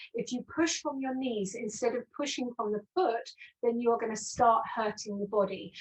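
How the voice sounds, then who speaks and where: Speaking at a moderate pace, a woman with an unremarkable speaking voice has a fairly high pitch and ordinary pitch variation. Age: 60s. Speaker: postural alignment specialist. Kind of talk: webinar interview.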